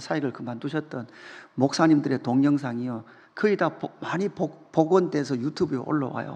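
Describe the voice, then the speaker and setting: A man with an ordinary speaking voice and a fairly high pitch. His pitch varies in an ordinary way over a quiet background. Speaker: pastor. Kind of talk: sermon.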